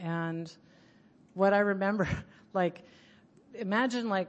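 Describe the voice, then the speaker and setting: A woman's medium-pitched, an ordinary speaking voice, with ordinary pitch variation. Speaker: speaker at recovery conference. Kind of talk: personal recovery talk. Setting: conference room with microphone.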